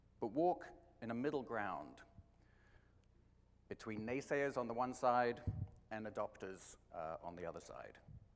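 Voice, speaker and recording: A man with an English accent speaks at a medium pitch and a fairly slow pace. His intonation is lively, broken by long, frequent pauses. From England. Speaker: marketing executive. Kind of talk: conference talk.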